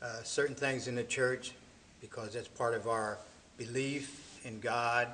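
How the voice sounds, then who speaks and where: A man at a very slow pace, medium in pitch, with monotone, flat intonation. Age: 70s. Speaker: church member, retired father. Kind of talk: interview testimony.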